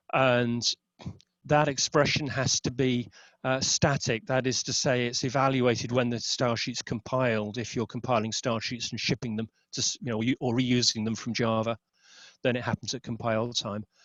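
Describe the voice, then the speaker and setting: With monotone, flat intonation, a man talks at a medium pitch. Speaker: webinar presenter on XSLT. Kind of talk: technical webinar presentation. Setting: online webinar. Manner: fast; hesitant with fillers and self-corrections.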